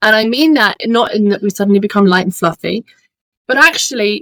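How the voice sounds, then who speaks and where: A woman with a British accent, fairly high pitch, and lively intonation, in a dry, close sound with no echo. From United Kingdom. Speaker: holistic business coach. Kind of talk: podcast interview.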